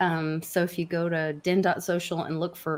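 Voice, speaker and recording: A woman with a Southern US accent talks at a fairly low pitch. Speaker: crypto show co-host. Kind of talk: casual chat.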